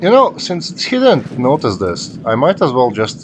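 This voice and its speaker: A man is speaking. Music plays in the background. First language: not English. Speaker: gaming YouTuber. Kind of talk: live gameplay commentary. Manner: casual, thinking aloud with fillers.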